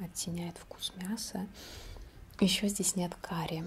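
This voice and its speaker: Over light background noise, a woman talks in a medium pitch, somewhat breathy, with fairly even intonation. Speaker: ASMR creator. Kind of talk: ASMR whisper-style talk to camera. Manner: casual, conversational, unhurried. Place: home room.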